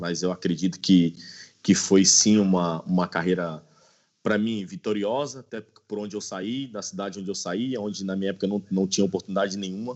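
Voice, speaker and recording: An ordinary speaking voice, this man's is fairly low in pitch, with fairly even intonation and a fairly quick pace. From Brazil, Brasília. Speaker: former pro footballer and player agent. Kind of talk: interview.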